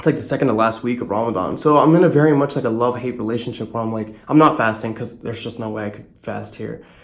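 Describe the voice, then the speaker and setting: A man's voice is heard here. The room gives off an audible echo. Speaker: vlogger. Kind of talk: casual travel vlog. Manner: fast. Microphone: echo in room.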